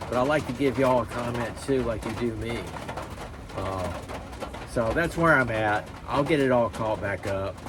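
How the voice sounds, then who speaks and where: Noticeable background noise and audible room echo fill the recording. The speech moves at a moderate pace. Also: man. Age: 60s. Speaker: YouTuber, knife hobbyist. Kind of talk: casual vlog talk to camera. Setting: outdoor shop. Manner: rambling, hesitant with many fillers.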